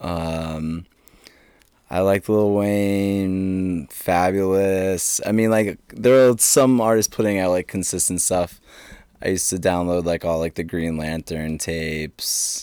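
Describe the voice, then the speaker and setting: The speaker has an American accent and a dark, mellow tone. The pace is very slow, with ordinary pitch variation. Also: man, very deep, low pitch for a man. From southern Maine, US. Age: 20s. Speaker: DJ. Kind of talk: casual chat.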